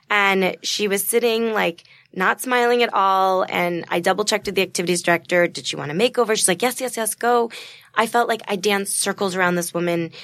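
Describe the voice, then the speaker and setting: A woman with a normal speaking voice talks at a fairly quick pace and medium pitch. Her pitch varies in an ordinary way, and the recording is very clean with a silent background. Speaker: charity founder. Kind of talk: interview.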